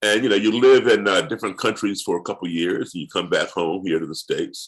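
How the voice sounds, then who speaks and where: A man's very deep, low voice with an American accent and ordinary pitch variation, over a quiet background. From US, raised partly abroad (Africa, Europe). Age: 60s. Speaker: musician and race relations activist. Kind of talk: interview conversation.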